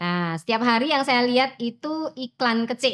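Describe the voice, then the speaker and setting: At a fairly slow pace, a woman with a fairly high voice and a Javanese accent speaks with lively intonation. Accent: Javanese-accented Indonesian. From Central Java, Wonogiri. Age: 50s. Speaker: teacher. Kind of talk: personal interview storytelling. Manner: casual, with fillers.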